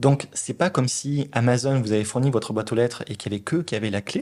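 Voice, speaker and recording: Talking at a very fast pace with a Toulouse accent, a man has a medium pitch, a dark, mellow tone and ordinary pitch variation. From southern France, Toulouse. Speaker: product leader at a large company. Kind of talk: interview. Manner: hesitant, many fillers.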